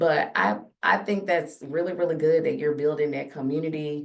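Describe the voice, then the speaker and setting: This woman speaks at a moderate pace in a very deep, low voice with vocal fry and lively intonation. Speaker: podcast host; teacher. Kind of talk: casual chat. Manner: loud.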